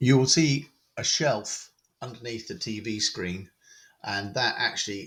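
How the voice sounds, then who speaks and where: A man's bright, sharp tone in a British accent, with ordinary pitch variation. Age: 60s. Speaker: model railway hobbyist. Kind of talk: home tour and project talk. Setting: railway room at home. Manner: hesitant, many fillers.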